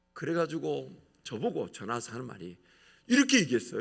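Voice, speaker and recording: A man talks at a very fast pace with a fairly high pitch. His voice shows vocal fry and very wide pitch swings. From Gyeongsang region, South Korea. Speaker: pastor. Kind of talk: sermon. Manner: animated.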